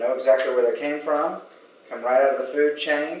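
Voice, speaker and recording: An American-accented man at a fairly quick pace, with audible room echo and noticeable background noise. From Texas, Austin. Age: 40s. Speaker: cooking competition contestant, architect. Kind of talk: cooking demonstration. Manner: casual.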